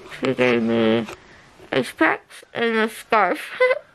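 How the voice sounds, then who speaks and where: Over light background noise, a woman mumbles at a very slow pace. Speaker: vlogger. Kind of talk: casual vlog chat. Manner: drowsy, mumbled speech through swollen cheeks. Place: home room. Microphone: phone near.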